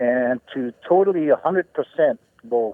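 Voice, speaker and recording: A man speaks with a Hawaiian accent. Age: 70s. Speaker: Hawaiian activist and folk singer. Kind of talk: radio interview. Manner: halting, many fillers.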